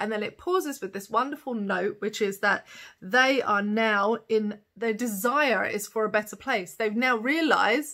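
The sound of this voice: With a bright, sharp tone and ordinary pitch variation, a woman talks at a fairly slow pace with few pauses. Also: medium pitch for a woman.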